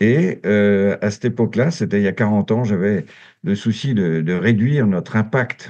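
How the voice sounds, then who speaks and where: A man talks at a moderate pace in a fairly low pitch with a dark, mellow tone. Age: 70s. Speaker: former association director, environmental volunteer. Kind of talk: podcast interview. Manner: hesitant, many fillers.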